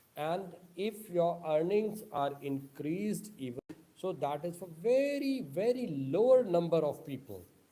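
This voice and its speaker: With lively intonation and a high pitch, a man speaks at a fairly slow pace amid audible room echo. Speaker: online speaker on social issues. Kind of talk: lecture. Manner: halting non-native phrasing.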